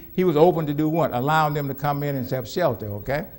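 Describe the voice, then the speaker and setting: An American-accented man speaks in an animated tone with ordinary pitch variation. There is audible room echo along with noticeable background noise. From US Southwest (Phoenix, Arizona). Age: 70s. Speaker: pastor. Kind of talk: sermon. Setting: church. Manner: animated, call-and-response questions.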